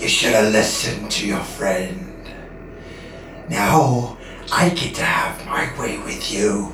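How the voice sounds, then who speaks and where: Using a put-on character voice with a low pitch, the speaker goes at a fairly slow pace, with slight echo and clear background noise. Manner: menacing, creepy.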